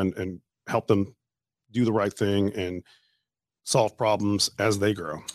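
Against a quiet background, a man with a Louisiana accent speaks fairly slowly in a fairly low, fairly even voice with long, frequent pauses, the sound dry and close with no echo. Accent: Southern US drawl picked up from Louisiana. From Canada. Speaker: safety company owner. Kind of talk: casual interview chat. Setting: studio.

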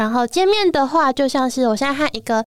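Lively intonation marks a woman's voice, recorded very cleanly with a silent background and a dry, close sound with no echo. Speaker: illustrator. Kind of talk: casual chat.

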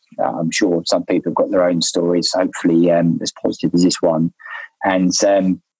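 A man with a British accent at a fairly quick pace, in a dry, close sound with no echo. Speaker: spearfisherman who rescued a friend. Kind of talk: casual interview storytelling. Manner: halting, many fillers.

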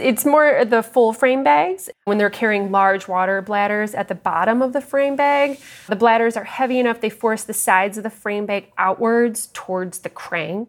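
A woman talks at a moderate pace in an ordinary speaking voice, pitched fairly high. Her pitch varies in an ordinary way, and she hardly pauses at all. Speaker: gear maker and shipper at a bike bag company. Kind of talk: casual interview.

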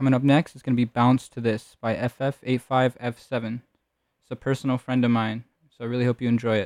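A man's warm-toned, medium-pitched voice with monotone, flat intonation and big swings in loudness, at a moderate pace, in a dry, close sound with no echo. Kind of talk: radio DJ patter between tracks, introducing songs on community radio. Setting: radio show on community station. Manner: relaxed, friendly and conversational, with filler 'um/uh' and casual 'y'all'; low-key, warm, unpolished delivery with short track announcements.

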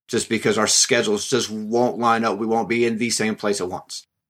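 A man with an American accent talks at a moderate pace and medium pitch in a plain, everyday voice, on a very clean recording with a silent background. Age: 30s. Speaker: keto diet group member. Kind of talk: interview. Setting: studio.

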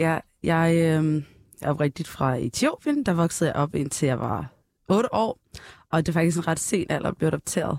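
The woman has an unremarkable speaking voice at a fairly low pitch. Her loudness stays very even, and the sound is dry and close with no echo. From northern Ethiopia, adopted to Denmark at 8. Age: 20s. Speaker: singer, talent show contestant. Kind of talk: casual chat.

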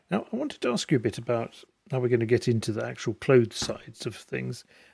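The sound is dry and close, with no echo. A man speaks in a somewhat breathy, medium-pitched voice with ordinary pitch variation. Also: very clean recording, silent background. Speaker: podcast host. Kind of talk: casual interview.

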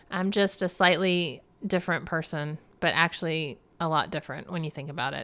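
Speaking with an American accent at a moderate pace, a woman has fairly low pitch and a bright, sharp tone. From US South. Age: 50s. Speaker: podcast host. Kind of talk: casual monologue. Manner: laughs often.

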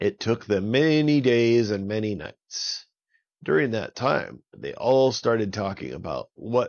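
Someone reads aloud in a natural voice, pitch moving in an ordinary way, with the background quiet.

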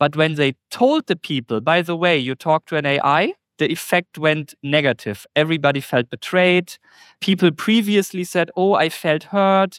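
With a German accent and a fairly high pitch, a man speaks at a moderate pace with ordinary pitch variation on a very clean recording with a silent background. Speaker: SEO expert. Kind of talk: casual interview.

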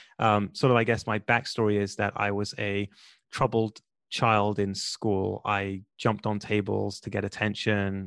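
With a London accent, the voice comes across dry and close, with no echo at all. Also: man, quiet background. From London, England. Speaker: podcast booking entrepreneur and podcast host. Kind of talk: interview conversation. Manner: animated.

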